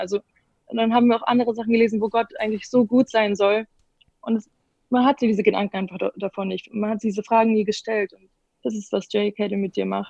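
A woman's fairly high pitch, dark, mellow tone and monotone, flat intonation. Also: big swings in loudness. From Bavaria, Munich. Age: young. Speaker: gap-year program participant. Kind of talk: casual interview.

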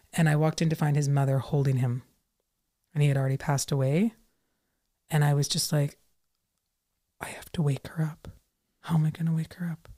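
In a very clean recording with a silent background, a woman with a very deep, low pitch and dark, mellow tone speaks somewhat breathily at a fairly quick pace, with long, frequent pauses. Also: fairly even intonation. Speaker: registered nurse and author. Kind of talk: casual interview chat. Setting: studio with headset. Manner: calm.

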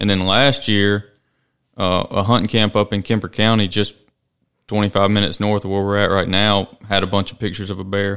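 With a Mississippi accent, the speaker talks at a fairly quick pace in a monotone, flat intonation over a very clean recording with a silent background. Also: man, fairly low pitch for a man. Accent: US Southern (Mississippi). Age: 30s. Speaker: podcast host. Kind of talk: casual interview. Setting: studio.

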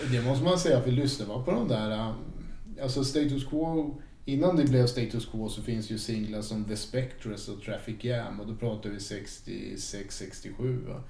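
Here a man speaks at medium pitch and a fairly slow pace, with ordinary pitch variation. His voice is somewhat breathy with a dark, mellow tone, and the room echo is audible. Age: 50s. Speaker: record collector and harmonica player in a tribute band. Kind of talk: casual chat.

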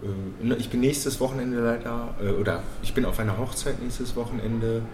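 A man's medium-pitched voice amid audible room echo and noticeable background noise. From Bochum, Ruhr area, Germany. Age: 30s. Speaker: school mentoring program worker. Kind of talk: casual chat. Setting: café.

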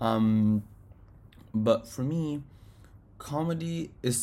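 With a somewhat breathy, dark, mellow tone, a man speaks with ordinary pitch variation. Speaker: solo podcast host. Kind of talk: casual monologue. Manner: halting, many fillers.

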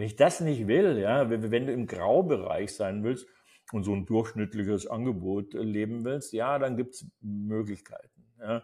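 The pace is fairly slow, with ordinary pitch variation. The tone is dark and mellow. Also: man, medium pitch for a man. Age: 70s. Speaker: acting coach. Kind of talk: live seminar talk. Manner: animated.

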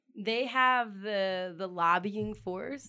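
A woman with a Richmond accent speaks in a bright, sharp tone. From Richmond, Virginia, US South. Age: 20s. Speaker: community organizer. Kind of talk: casual interview chat.

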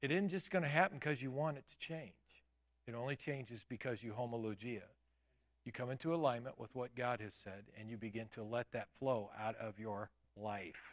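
At a moderate pace and medium pitch, a man with an ordinary speaking voice talks with ordinary pitch variation and big swings in loudness. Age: 50s. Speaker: pastor. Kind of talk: sermon. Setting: church.

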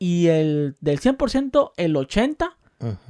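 The pitch swings very widely, and the sound is dry and close with no echo. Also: man. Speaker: podcast host and YouTuber. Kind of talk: casual interview chat.

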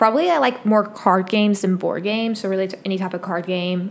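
Talking very fast, a woman keeps a medium pitch and a fairly even intonation. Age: 20s. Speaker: podcast host. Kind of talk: casual monologue. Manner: relaxed.

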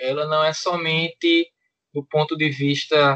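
With a Pernambuco accent, a man speaks at a fairly slow pace. His fairly high voice keeps a monotone, flat intonation. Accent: Pernambuco northeastern Brazilian. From Pernambuco sertão, Petrolina. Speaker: podcast co-host, DeMolay senior member. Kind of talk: casual chat.

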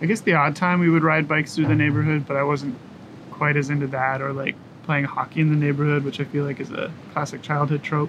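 A man's fairly high, monotone voice with flat intonation and a Canadian accent, at a very fast pace over noticeable background noise. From Kingston, Ontario, Canada. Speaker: teacher and musician. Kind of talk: interview. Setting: outdoors on a covered deck.

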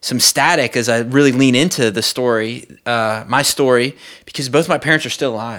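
In a very clean recording with a silent background, a man with a Southern US accent speaks at a medium pitch in a bright, sharp tone. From US South, South Mississippi. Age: 30s. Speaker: pastor. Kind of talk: testimony. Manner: halting, many repeated words.

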